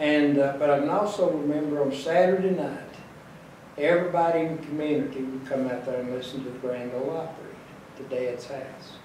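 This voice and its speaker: Speaking with an Appalachian accent, a man talks at a fairly quick pace and a fairly high pitch, with ordinary pitch variation, big swings in loudness, light background noise and audible room echo. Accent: Appalachian Kentucky. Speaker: elderly interviewee; interviewee. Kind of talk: interview reminiscence. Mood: calm, nostalgic. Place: home room.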